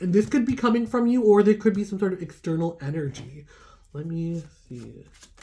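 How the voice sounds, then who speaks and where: A woman's somewhat breathy voice with a dark, mellow tone and very wide pitch swings. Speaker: tarot reader. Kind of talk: tarot reading. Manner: casual, chatty.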